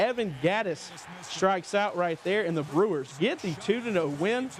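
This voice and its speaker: Against noticeable background noise, a man speaks fairly slowly with a high pitch and lively intonation. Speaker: local TV sports anchor. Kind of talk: TV sportscast delivery.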